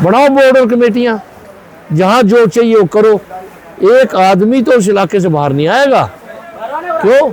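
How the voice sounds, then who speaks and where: An animated man speaks over noticeable background noise. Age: 70s. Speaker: wholesale market trader. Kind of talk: interview.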